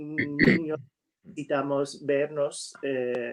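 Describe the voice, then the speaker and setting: A man with an American accent, fairly high pitch, very slow pace and monotone, flat intonation. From US Northeast (New York). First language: English (speaking Spanish). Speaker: writer. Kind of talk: virtual literary talk. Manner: halting with many fillers.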